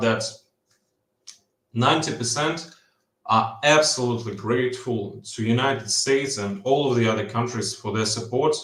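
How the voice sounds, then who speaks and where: In a room with audible echo, a man speaks at a moderate pace in a somewhat breathy voice with ordinary pitch variation. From Ukraine. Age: 20s. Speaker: caller. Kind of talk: casual chat. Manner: halting, many fillers and repeats.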